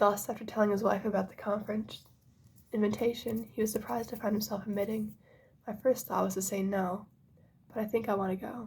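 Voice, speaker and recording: A soft-spoken woman whispers at a fairly quick pace, her voice somewhat breathy. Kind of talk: ASMR book reading. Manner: soft-spoken, whispering.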